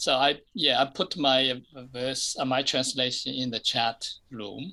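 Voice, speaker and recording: Bright and sharp in tone, the voice carries vocal fry and fairly even intonation. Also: man. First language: not English. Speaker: group member. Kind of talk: casual chat. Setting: video call. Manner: halting, many fillers.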